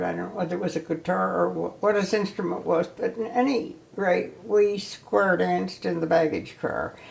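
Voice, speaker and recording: Noticeable background noise behind a woman in an American accent. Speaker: ski instructor. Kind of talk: oral history interview. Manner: reminiscent, hesitant.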